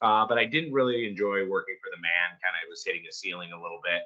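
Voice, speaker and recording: A man talks with a strong Michigan accent. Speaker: company founder and CEO. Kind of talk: interview. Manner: casual, filler-heavy.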